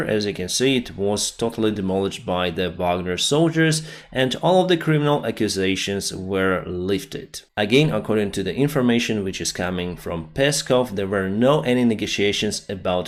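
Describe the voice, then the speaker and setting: A man speaks at a fairly low pitch and moderate pace with a non-native accent. His intonation is lively, and he hardly pauses. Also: very clean recording, silent background. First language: not English. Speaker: news commentator. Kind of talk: video commentary on news.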